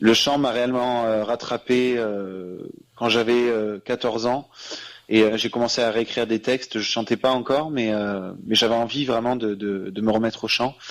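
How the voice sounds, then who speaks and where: On a very clean recording with a silent background, a man at medium pitch keeps a fairly even intonation and a moderate pace. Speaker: singer. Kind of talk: radio interview. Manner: halting.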